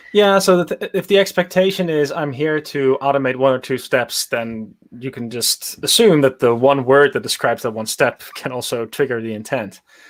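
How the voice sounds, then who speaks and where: Amid noticeable background noise, a man in a Dutch accent speaks at a moderate pace with a fairly high pitch, lively intonation and hardly any pauses. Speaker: machine learning engineer. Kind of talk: casual interview on a livestream. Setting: live video stream.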